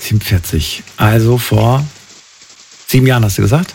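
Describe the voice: Speaking at a moderate pace, a man uses a fairly low, slightly mellow voice with a slightly husky edge, vocal fry and ordinary pitch variation.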